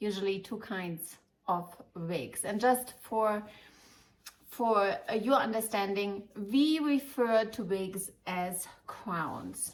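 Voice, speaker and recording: A woman with fairly high pitch and ordinary pitch variation, at a very slow pace. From Germany, Munich. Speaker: wig shop owner and advisor. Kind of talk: informative video talk to customers. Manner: halting, many fillers.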